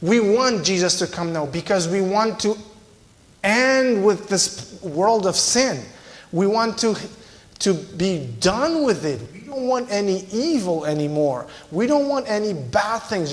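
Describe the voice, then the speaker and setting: Amid noticeable background noise and audible room echo, a man with a Romanian accent speaks in a high pitch with lively intonation. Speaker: visiting preacher. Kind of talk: sermon.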